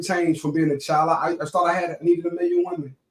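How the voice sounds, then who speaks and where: A high-pitched man with a Georgia accent, talking at a very fast pace. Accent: Southern US, Georgia. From US South, Savannah, Georgia. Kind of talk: interview. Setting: live stream interview. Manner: casual, conversational with fillers.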